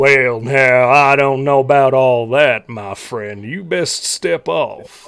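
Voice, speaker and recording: A put-on character voice at a fairly slow pace. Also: man, medium pitch for a man. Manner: gruff, warning.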